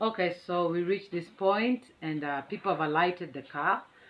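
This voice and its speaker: Against noticeable background noise, a woman with a fairly low pitch talks at a fairly slow pace. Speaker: vlogger. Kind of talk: casual chat. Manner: animated.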